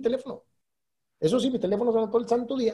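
The tone is dark and mellow. The delivery comes at a very fast pace. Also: man. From Mexico, Durango. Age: 40s. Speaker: entrepreneur. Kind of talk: casual interview.

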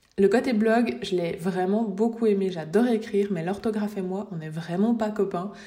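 A woman of medium pitch talks at a moderate pace with ordinary pitch variation, amid noticeable background noise and audible room echo. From Switzerland. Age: 20s. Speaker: graphic designer and podcast host. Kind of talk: casual solo podcast monologue. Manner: unscripted with hesitations.

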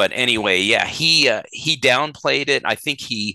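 A bright, sharp voice with an American accent moves at a moderate pace, with a dry, close sound with no echo and a quiet background. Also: man. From Colorado, US. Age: 60s. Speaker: podcast co-host, family history researcher. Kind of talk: casual chat. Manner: hesitant, many fillers.

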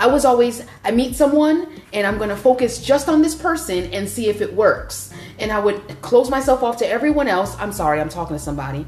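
The pitch swings very widely at a fairly quick pace. Noticeable background noise sits behind the voice. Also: woman, fairly high pitch for a woman. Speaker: co-host. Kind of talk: casual faith discussion.

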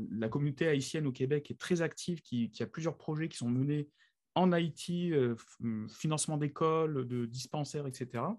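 The pace is moderate, with ordinary pitch variation. The recording is very clean, and the background is silent. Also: man. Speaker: podcast co-host. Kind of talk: casual explanatory chat.

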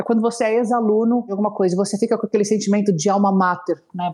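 Her voice sits at a medium pitch as the woman talks fairly quickly. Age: 30s. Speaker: alumni relations leader. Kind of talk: interview conversation. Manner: animated.

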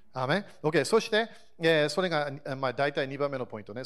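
A man speaks at a fairly quick pace in a normal speaking voice. His pitch is fairly high, with ordinary variation. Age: 40s. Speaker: pastor. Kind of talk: sermon. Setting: church service.

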